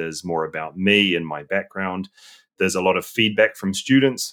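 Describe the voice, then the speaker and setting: A man's very deep, low voice with ordinary pitch variation at a moderate pace. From New Zealand. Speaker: data science educator. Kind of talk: interview. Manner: halting.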